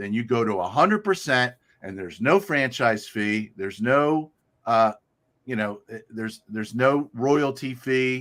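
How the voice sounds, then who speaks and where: Speaking with a plain, everyday voice, a man talks at a fairly slow pace and medium pitch, with lively intonation and big swings in loudness on a very clean recording with a silent background. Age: 60s. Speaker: real estate agent. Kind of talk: casual chat.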